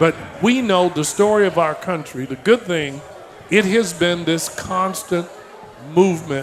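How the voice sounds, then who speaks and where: A high-pitched man with an American accent at a moderate pace, over noticeable background noise. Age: 70s. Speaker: political speaker. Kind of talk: political speech. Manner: impassioned.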